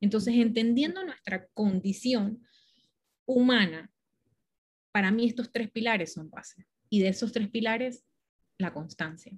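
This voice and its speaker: Speaking at a fairly slow pace with long, frequent pauses, a woman uses a fairly high, somewhat breathy voice and lively intonation. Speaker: spiritual mentor and marketing agency co-founder. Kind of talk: interview.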